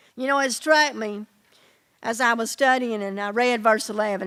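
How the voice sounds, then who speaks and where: A normal speaking voice from a woman, fairly high in pitch, with ordinary pitch variation. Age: 60s. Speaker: preacher. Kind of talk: sermon.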